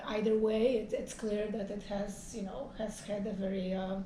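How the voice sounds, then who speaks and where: Against noticeable background noise and audible room echo, a woman with a Polish accent speaks at a fairly slow pace in a medium pitch with monotone, flat intonation. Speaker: professor. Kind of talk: interview conversation. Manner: halting, many fillers.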